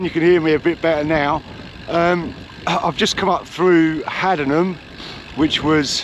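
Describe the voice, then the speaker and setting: Over noticeable background noise, a man with a high pitch speaks at a fairly slow pace with fairly even intonation. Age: middle-aged. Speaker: cycling vlogger. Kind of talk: casual vlog narration. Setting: outdoors on a bike. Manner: loud; hesitant.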